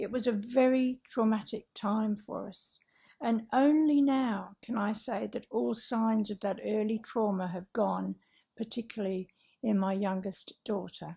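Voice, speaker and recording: In a very clean recording with a silent background, a woman speaks at a fairly high pitch and a fairly slow pace. Her tone is dark and mellow, somewhat breathy, with ordinary pitch variation. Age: 60s. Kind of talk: public talk. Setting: talk venue with audience. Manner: careful reading from script; simple vocabulary, effortful speech.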